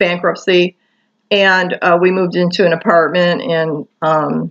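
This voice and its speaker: A woman's fairly low voice with an American accent and monotone, flat intonation. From Michigan, US. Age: 60s. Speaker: vlogger. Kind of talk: personal testimony monologue. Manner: halting, many fillers.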